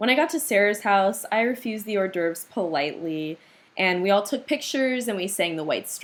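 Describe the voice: Intonation moves in a lively way. The text is plain reading aloud.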